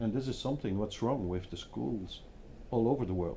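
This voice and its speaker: With a dark, mellow tone and a somewhat breathy sound, a man speaks at a medium pitch and moderate pace with lively intonation. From Belgium, Hasselt (Flanders). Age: 50s. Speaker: design agency founder. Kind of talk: panel discussion.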